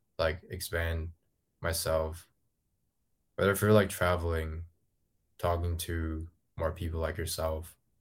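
Very deep and low in pitch, a man speaks slowly and somewhat breathily in a flat monotone, leaving long, frequent pauses, on a very clean recording with a silent background. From Hong Kong. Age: 20s. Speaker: ghostwriter. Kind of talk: casual chat. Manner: halting, many fillers.

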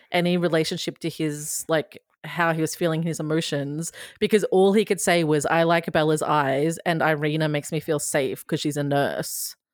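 A woman with an Australian accent talks at a moderate pace. Her voice is very deep and low, with fairly even intonation. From Queensland, Australia. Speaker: satirist and TV recapper.

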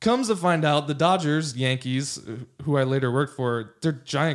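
Speaking with a Californian accent, this voice moves at a fairly quick pace with ordinary pitch variation. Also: man. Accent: Californian American. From Los Angeles, California. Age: 30s. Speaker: lawyer and former baseball player. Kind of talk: casual chat. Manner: animated.

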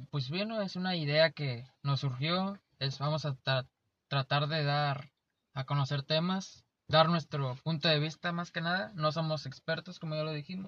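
A man with an unremarkable speaking voice speaks at a fairly slow pace and a fairly high pitch, with ordinary pitch variation, in a dry, close sound with no echo and a quiet background. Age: 20s. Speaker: podcast co-host. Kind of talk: casual chat.

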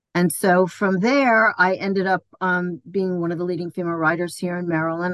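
A woman has a plain, everyday voice with a fairly low pitch. She talks at a fairly quick pace, and the sound is dry and close with no echo. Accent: American. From New York, Queens. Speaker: massage therapist and former jockey. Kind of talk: interview.

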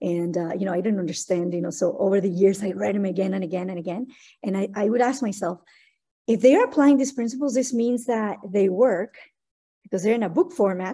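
A woman with a Spanish accent talks at a fairly quick pace. Her tone is energetic, and her pitch varies in an ordinary way. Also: medium pitch for a woman. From Mexico City, Mexico. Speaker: marketing agency CEO and author. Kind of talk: interview.

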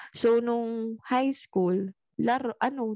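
A woman speaks at a very slow pace, her fairly high pitch and fairly even intonation set against a quiet background. The sound is dry and close with no echo. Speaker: podcast co-host. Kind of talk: casual chat. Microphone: new microphone.

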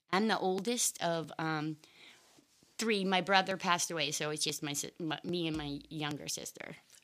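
A plain, everyday voice with an American accent, at a moderate pace and with ordinary pitch variation. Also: woman, fairly low pitch for a woman, very clean recording, silent background. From Maine, US. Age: 50s. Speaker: interview guest sharing life story. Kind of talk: casual interview chat.

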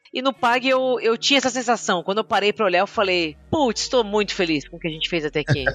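A woman at a medium pitch, very fast and almost pause-free, with lively intonation and a dry, close sound with no echo. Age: 40s. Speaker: agile coach / product leader. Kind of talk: interview. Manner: halting.

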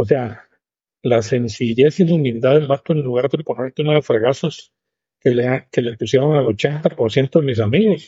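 A somewhat breathy man's voice of medium pitch, fairly slow in pace, with ordinary pitch variation. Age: 70s. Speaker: businessman. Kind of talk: interview.

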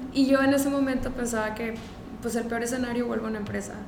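With audible room echo and noticeable background noise, a woman speaks in a fairly high, monotone voice with flat intonation. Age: 20s. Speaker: entrepreneur, founder of a business. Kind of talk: interview.

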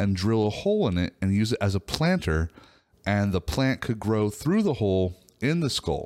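Speaking at a fairly slow pace, a man uses a fairly low pitch and lively intonation, in a dry, close sound with no echo. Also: very clean recording, silent background. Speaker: podcast co-host. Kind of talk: casual chat.

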